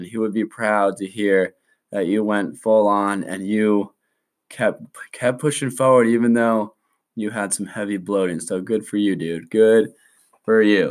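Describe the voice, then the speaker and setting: A man speaks in a plain, everyday voice at a fairly low pitch, with fairly even intonation. The recording is very clean, with a silent background. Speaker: podcast host and college student. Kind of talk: casual solo podcast monologue.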